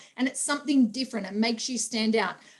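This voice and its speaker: A woman with an Australian accent speaks in an animated tone. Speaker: personal trainer and sales trainer. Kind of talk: training talk.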